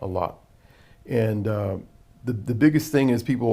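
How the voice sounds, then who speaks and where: Recorded very cleanly with a silent background, a man speaks at a moderate pace with a medium pitch and a dark, mellow tone that is somewhat breathy. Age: 60s. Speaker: jazz musician and singer. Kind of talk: casual interview.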